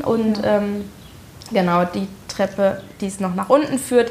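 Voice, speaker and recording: Over noticeable background noise, a woman speaks at a very slow pace. Her pitch is medium and varies in an ordinary way. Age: 30s. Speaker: homeowner and beautician. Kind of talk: casual interview at home. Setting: at her home. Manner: hesitant, many fillers.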